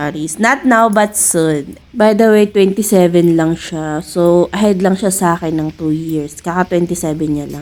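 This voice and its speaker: A woman speaks in a fairly low pitch at a very slow pace with ordinary pitch variation. Noticeable background noise is present. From Philippines. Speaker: vlogger. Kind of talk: vlog narration.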